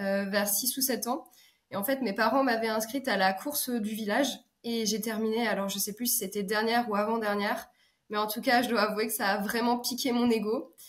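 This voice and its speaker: Delivery moves at a moderate pace. Intonation remains fairly even throughout. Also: woman, fairly high pitch for a woman. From France, Alsace. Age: 30s. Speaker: business consultant and ultra-trail runner. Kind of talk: podcast interview. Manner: hesitant, many 'euh' fillers.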